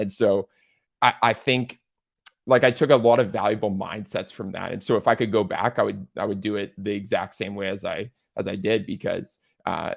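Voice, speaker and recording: An ordinary speaking voice from a man, fairly low in pitch and fairly quick, with fairly even intonation. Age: 20s. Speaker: entrepreneur. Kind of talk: interview answer.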